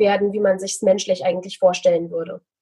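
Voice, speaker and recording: A woman's somewhat breathy voice. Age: 20s. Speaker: financial coach. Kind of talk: interview.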